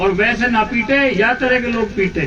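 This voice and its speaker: A man speaks at an extremely high pitch in a raised, projected voice. His intonation stays fairly even over noticeable background noise. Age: 60s. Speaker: politician. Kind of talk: political speech.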